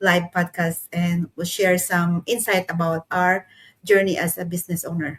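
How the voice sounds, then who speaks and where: A woman's fairly low, somewhat breathy voice in a Filipino accent at a fairly slow pace. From Philippines. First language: Tagalog. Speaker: manufacturing worker and online entrepreneur. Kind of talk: casual chat. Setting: livestream.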